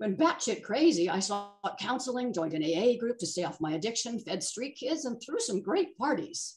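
Music in the background behind a woman speaking with very wide pitch swings. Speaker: storyteller sharing a personal account. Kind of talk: reading a personal essay aloud. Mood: wry, humorous, animated. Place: home room. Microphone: video call.

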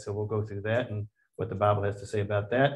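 A man talks at a fairly quick pace in a fairly low pitch, his voice somewhat breathy. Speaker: class teacher. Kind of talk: lecture. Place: classroom.

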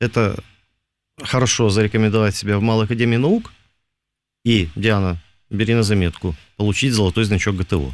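A man uses a normal speaking voice with a fairly low pitch and ordinary pitch variation, talking at a fairly quick pace. His loudness stays very even, and the sound is dry with no echo. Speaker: radio host. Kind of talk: casual chat. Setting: studio. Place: studio.

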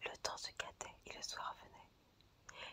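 Whispering in a calm tone. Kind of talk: whispered ASMR fairy-tale reading for sleep and relaxation. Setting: audio recorded close-up for ASMR. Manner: whispered, soft-spoken, calm.

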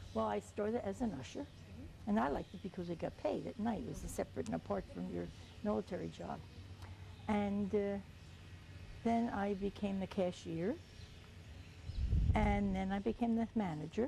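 A woman with a very deep, low voice and a dark, mellow tone speaks at a moderate pace, with vocal fry, very wide pitch swings, and long, frequent pauses. The sound is dry with no echo, over light background noise. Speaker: World War II Women's Army Corps veteran. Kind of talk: oral history interview answer. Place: street. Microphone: lapel.

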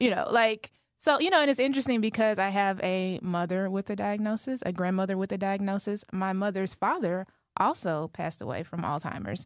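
Against a quiet background, someone with an American accent talks at a fairly quick pace, the sound dry with no echo and the pitch varying in an ordinary way. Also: woman. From Dallas, Texas; Texas. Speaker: family caregiver and advocate; guest. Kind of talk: radio interview. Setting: studio. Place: studio.

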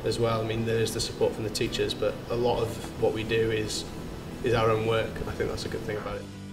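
The speech moves at a very fast pace over clear music in the background. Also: man. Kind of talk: interview answer. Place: stage.

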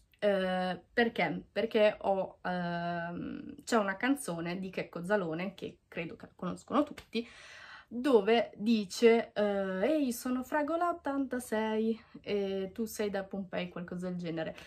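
Her intonation lively, a woman speaks at a very slow pace. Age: 20s. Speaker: YouTuber. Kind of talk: vlog monologue. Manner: halting. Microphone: phone near.

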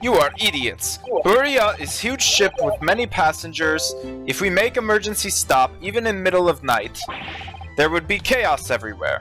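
A man's put-on character voice in a Russian accent, high-pitched with big pitch swings, a bright, sharp tone and a moderate pace, over faint music in the background

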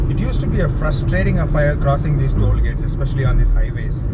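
Loud background noise surrounds a man talking at a fairly quick pace. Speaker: travel vlogger. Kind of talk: casual vlog chat. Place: car. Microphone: phone near.

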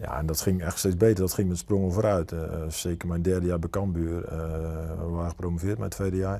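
Calm in tone, a man speaks at a fairly quick pace with a very deep, low pitch. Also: fairly even intonation. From Netherlands, South Holland coast. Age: 40s. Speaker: football coach. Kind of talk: interview. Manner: halting. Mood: calm, reflective. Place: studio. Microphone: lapel.

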